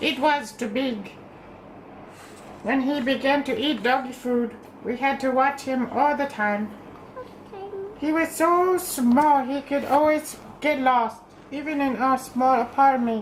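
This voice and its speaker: Amid clear background noise, a woman with a high voice speaks at a fairly slow pace, with long, frequent pauses. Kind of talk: bedtime story. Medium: read story. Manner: gentle, measured reading.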